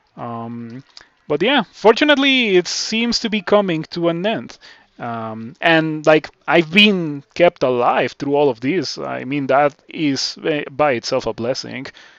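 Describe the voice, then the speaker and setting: With a Spanish accent, a man speaks at a fairly high pitch and uses lively intonation. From Mexico. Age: 20s. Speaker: video game streamer. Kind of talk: casual chat. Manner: halting.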